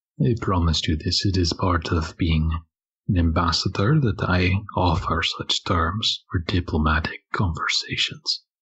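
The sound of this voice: A man's put-on character voice, low-pitched with a husky, rough edge and a fairly bright tone, lively in intonation, at a fairly slow pace.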